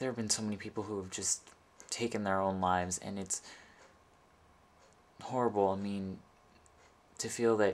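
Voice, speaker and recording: This is a man's voice. It sits at a fairly low pitch, and the intonation is monotone and flat. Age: 20s. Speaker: LGBT youth support video maker. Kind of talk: personal testimony to camera. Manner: halting, many false starts and repetitions.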